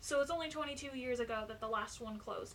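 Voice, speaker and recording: Amid noticeable background noise and audible room echo, a woman with a Canadian accent speaks in a high voice. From Ontario, Canada. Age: 20s. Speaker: YouTuber. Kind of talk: informational vlog talk.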